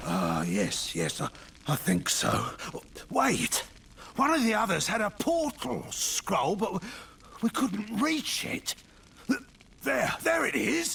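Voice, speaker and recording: Delivered in a put-on character voice at a fairly slow pace, the speech has long, frequent pauses over clear background noise. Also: man, high pitch for a man. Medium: video game.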